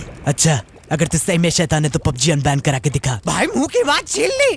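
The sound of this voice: A man's put-on character voice, fairly high in pitch, at a fairly quick pace over clear background noise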